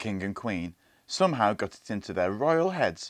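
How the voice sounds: This is a natural reading voice. The words are read in that manner throughout.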